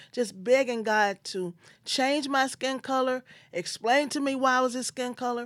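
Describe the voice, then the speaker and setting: A woman with a Memphis accent, in a very clean recording against a silent background. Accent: Southern US (Memphis). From US South, Memphis, Tennessee. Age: 50s. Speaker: podcast host and life insurance agent. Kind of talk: personal storytelling monologue.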